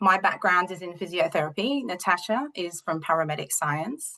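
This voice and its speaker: A woman with an Australian accent speaks at a medium pitch with very wide pitch swings. Her tone is bright and sharp, at a moderate pace. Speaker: university lecturer and researcher. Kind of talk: webinar presentation. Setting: online webinar with screen share.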